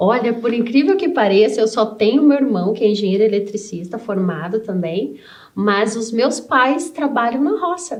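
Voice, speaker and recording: Her voice is a normal speaking voice, fairly high in pitch for a woman. She talks at a moderate pace with lively intonation. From Brazil, rural interior of Paraná. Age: 40s. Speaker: civil engineer and business owner. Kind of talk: interview.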